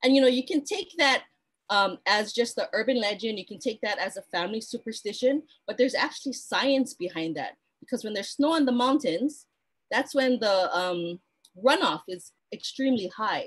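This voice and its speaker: Her pitch high and swinging very widely, a woman speaks. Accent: Hawaiian. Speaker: cultural practitioner. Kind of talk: online talk. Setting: live stream. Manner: fast.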